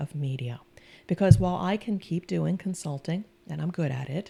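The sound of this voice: This woman's pitch is very deep and low, with a dark, mellow tone. Her intonation is lively and her pace moderate.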